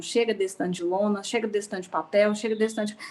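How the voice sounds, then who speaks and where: Speaking very fast, a woman uses a fairly high pitch. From Goiás, Brazil. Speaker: cooperative sector events and sponsorship professional. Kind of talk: online event participant comment. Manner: animated.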